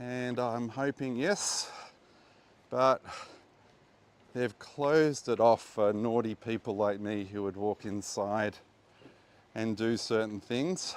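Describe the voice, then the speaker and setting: The speech comes very slowly in an Australian accent, with ordinary pitch variation. Long pauses break it up frequently. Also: man. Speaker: tour guide and archaeology presenter. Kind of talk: guided walking tour. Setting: outdoors at archaeological site. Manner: casual, hesitant with fillers.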